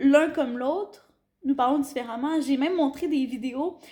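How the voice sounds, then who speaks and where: A woman speaks in a Quebec accent at a moderate pace. Her voice is high, with ordinary pitch variation. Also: very clean recording, silent background. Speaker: teacher on internship abroad. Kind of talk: casual chat. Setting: at home over dinner.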